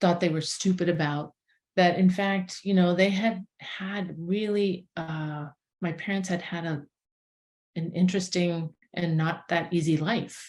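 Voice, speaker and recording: A woman's fairly low, somewhat breathy voice stays monotone and flat. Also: fairly slow pace. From Boston, US. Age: 60s. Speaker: herbalist. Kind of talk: interview. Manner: halting.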